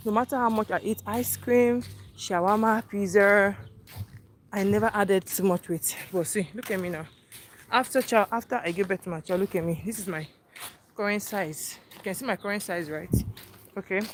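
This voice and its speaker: A woman's medium-pitched voice in a Nigerian accent, with ordinary pitch variation, big swings in loudness and long, frequent pauses. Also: moderate pace. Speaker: vlogger. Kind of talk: casual chat.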